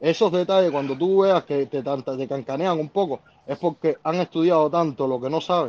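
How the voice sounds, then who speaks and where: In a plain, everyday voice, a man talks at a fairly quick pace with ordinary pitch variation. The sound is dry and close with no echo, over a quiet background. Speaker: viewer calling in. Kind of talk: political discussion on a live stream.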